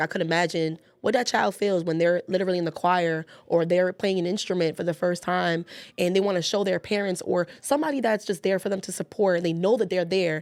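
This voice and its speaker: The speech moves at a fairly quick pace. Its tone is animated, with ordinary pitch variation. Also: woman. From New York, the Bronx. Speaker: youth community worker, parent. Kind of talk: casual chat. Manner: loud.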